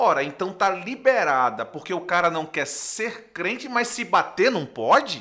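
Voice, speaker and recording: Projecting a raised voice over noticeable background noise, a man with a high pitch talks at a fairly slow pace in an animated tone with very wide pitch swings. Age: 40s. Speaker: pastor. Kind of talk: podcast interview.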